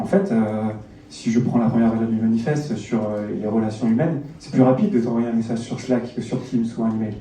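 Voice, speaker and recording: Speaking at a fairly quick pace, a man is heard over noticeable background noise with audible room echo. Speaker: agile coach and conference speaker. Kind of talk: conference talk. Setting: stage with audience. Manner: fast; hesitant, many fillers.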